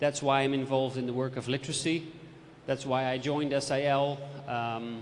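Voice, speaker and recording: Fairly even intonation from a man with a Dutch accent, fairly high in pitch, at a moderate pace, with audible room echo. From Netherlands. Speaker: literacy and ICT expert. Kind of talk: presentation. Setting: lecture theatre with audience.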